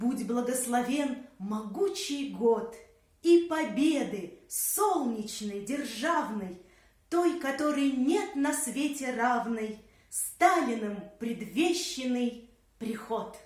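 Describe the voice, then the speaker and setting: Very slow, lively speech from a woman with a high pitch. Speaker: actress, puppet theatre performer. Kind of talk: poetry reading.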